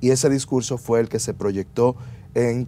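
A man talks with a Dominican accent in a dark, mellow tone. His pitch varies in an ordinary way over light background noise. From Dominican Republic. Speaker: lawyer. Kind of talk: interview. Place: studio. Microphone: lapel.

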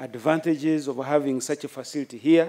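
Over a quiet background, a man's fairly high voice keeps a fairly even intonation. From Uganda. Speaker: military chief. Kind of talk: formal speech. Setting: outdoor ceremony with audience. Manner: formal; halting. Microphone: podium.

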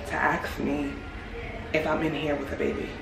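Audible room echo surrounds a woman speaking at a moderate pace. Light background noise sits behind her. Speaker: vlogger. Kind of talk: casual vlog chat. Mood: angry, disgusted, indignant. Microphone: phone near.

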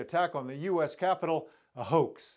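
The background is quiet as a man speaks. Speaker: news reporter. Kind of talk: news reading. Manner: formal, measured. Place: studio. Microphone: lapel.

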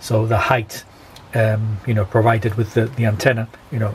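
A man with a British accent speaks at a moderate pace in a medium pitch. His intonation is monotone and flat, with light background noise. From UK. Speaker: amateur radio operator and YouTuber. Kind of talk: tutorial. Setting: at home, filmed demonstration. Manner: halting, many fillers. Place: home room. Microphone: phone near.

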